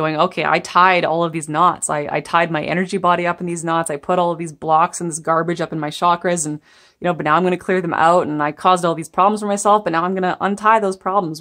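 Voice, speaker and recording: A woman's fairly low voice at a very fast pace, with fairly even intonation and a quiet background. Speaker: tarot reader. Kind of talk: spiritual tarot reading to camera.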